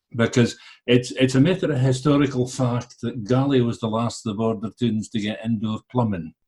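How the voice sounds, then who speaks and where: Somewhat breathy and dark, mellow in tone, a man talks at a fairly quick pace and medium pitch with ordinary pitch variation. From Scottish Borders (Galashiels), also Edinburgh and Falkirk. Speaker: literary translator. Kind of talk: interview. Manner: cheerful.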